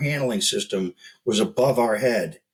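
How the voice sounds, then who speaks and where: Here is a man with an unremarkable speaking voice and lively intonation. He keeps a moderate pace. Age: 60s. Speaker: health business founder, guest expert. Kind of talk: casual interview chat.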